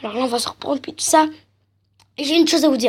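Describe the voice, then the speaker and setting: Against music in the background, a woman talks at a high pitch with fairly even intonation. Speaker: gaming youtuber. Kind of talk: gameplay commentary.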